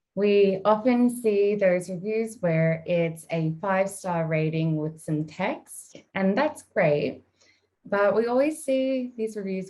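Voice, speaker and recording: A strong Australian accent carries a dark, mellow tone. The pace is very slow and the intonation lively. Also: woman. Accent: Australian, thick. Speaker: marketing executive. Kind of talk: webinar presentation.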